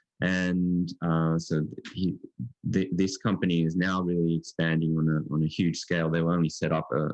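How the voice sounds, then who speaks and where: An Australian-accented man talks at a moderate pace in a very deep, low voice. His intonation is monotone and flat, and the sound is dry and close with no echo. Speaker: physics professor. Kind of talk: lecture. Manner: halting, many fillers.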